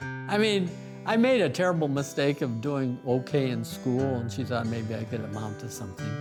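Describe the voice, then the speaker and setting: Music plays in the background as a man with an American accent speaks at a medium pitch and moderate pace, with lively intonation. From Montana. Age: 80s+. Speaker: pencil artist, former rancher. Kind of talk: interview answer.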